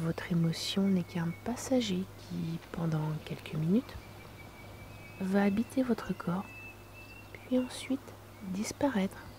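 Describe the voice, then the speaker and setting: A woman speaks at a very slow pace with lively intonation and long, frequent pauses, over noticeable background noise. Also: medium pitch for a woman. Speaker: relaxation guide. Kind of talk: guided meditation. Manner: soft-spoken.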